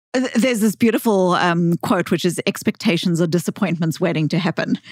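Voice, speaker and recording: A woman's fairly low voice at a fairly quick pace, very even in loudness, with ordinary pitch variation and a dry, close sound with no echo. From South Africa. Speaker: psychologist and author. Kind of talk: podcast interview. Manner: halting, many false starts.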